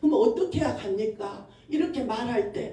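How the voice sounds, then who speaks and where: Against noticeable background noise and audible room echo, a woman speaks with very wide pitch swings. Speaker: associate pastor. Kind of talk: sermon. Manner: fast; animated.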